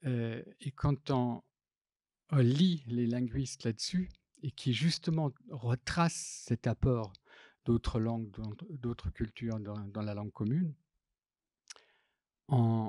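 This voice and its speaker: A man with a non-native accent speaks very slowly, with long, frequent pauses, a dark, mellow tone and ordinary pitch variation. The recording is very clean, with a silent background and a dry, close sound with no echo. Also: medium pitch for a man. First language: not French (speaking French). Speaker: graphic designer and typographer. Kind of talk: public talk. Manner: halting, many hesitations.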